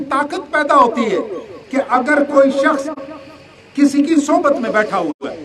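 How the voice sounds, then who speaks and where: Over crowd noise in the background, a man talks at an extremely high pitch for a man, with audible room echo. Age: 60s. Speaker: retired army officer and religious speaker. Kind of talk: religious lecture.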